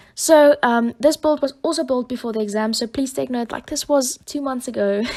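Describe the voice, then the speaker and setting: With a South African accent, a woman talks using ordinary pitch variation. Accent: Afrikaans-accented English. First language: Afrikaans. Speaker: YouTube Sims builder. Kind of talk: voiceover commentary. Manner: hesitant, many fillers.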